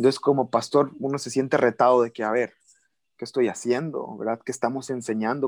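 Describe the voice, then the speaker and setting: A normal speaking voice from a man, medium-pitched and fairly quick, with fairly even intonation in a dry, close sound with no echo. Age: 20s. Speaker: pastor. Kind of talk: interview.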